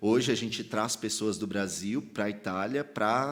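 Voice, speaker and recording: A man speaks at a fairly slow pace. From São Paulo, Brazil (Sacomã, south zone). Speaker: pastor and theologian. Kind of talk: podcast interview. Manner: casual slangy.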